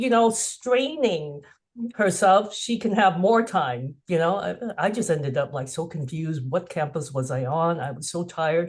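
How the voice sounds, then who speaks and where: A woman with an American accent speaks in a fairly low, somewhat breathy voice. Her intonation is lively, and the background is quiet. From US, Cantonese Chinese American family. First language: Cantonese. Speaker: author. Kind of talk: webinar conversation.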